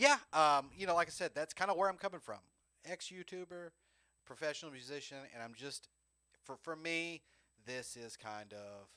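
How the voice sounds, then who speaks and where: With a Southern US accent, a man in a fairly high, bright, sharp voice uses lively intonation, big swings in loudness, and long, frequent pauses, in a dry, close sound with no echo. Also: moderate pace, very clean recording, silent background. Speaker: podcast host, drummer. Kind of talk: casual chat.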